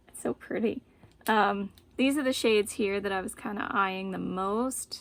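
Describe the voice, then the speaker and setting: Noticeable background noise sits behind a woman with an American accent who speaks at a moderate pace with ordinary pitch variation. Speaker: beauty vlogger. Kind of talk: makeup tutorial. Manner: casual, filler-heavy.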